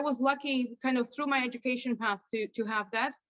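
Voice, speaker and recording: The woman has a Polish accent. Her pace is moderate, with ordinary pitch variation. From Poland. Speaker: lawyer. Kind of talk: interview.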